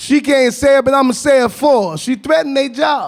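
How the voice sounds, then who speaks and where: An extremely high-pitched male voice with an American accent, an animated tone and ordinary pitch variation. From US South. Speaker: activist, formerly incarcerated advocate. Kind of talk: panel talk. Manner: animated, storytelling.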